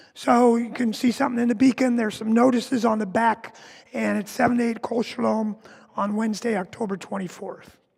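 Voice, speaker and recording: His pitch is extremely high for a man. He talks at a fairly quick pace with fairly even intonation. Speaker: worship associate. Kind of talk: church announcements.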